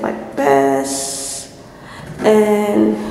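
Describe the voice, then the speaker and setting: A woman is speaking with audible room echo. Light background noise is present. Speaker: vlogger. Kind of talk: casual vlog chat. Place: empty room. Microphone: phone near.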